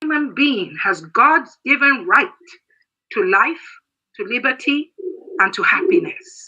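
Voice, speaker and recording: With a Nigerian accent, a woman speaks at a high pitch with very wide pitch swings, at a fairly slow pace with long, frequent pauses. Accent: Nigerian Igbo English. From Nigeria, Igbo southeast. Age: 60s. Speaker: military veteran. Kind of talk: political speech.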